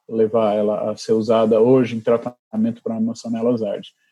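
The man's tone is dark and mellow. He speaks at a fairly quick pace with ordinary pitch variation. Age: 50s. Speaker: physician and researcher. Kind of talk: interview.

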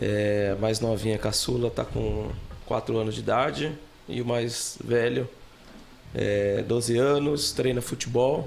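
Noticeable background noise sits behind a man at medium pitch. His pace is very slow, with fairly even intonation and very even loudness. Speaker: podcast guest, student and customer service professional. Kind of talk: casual chat.

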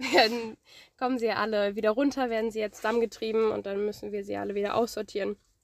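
A woman speaks at a very fast pace with monotone, flat intonation. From northern Germany. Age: 20s. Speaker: farm worker and student. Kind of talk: interview.

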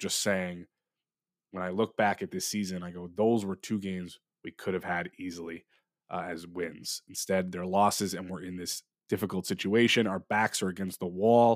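In a very clean recording with a silent background and a dry, close sound with no echo, a man speaks very deep and low, with big swings in loudness. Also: moderate pace. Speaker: sports podcast host. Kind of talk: casual solo sports talk. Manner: animated.

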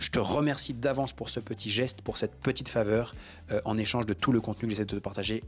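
A man speaks at a very fast pace in a medium pitch, with an animated tone and ordinary pitch variation. The recording is very clean, with a silent background. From France, Haute-Savoie. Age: 20s. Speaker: business coach. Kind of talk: podcast monologue.

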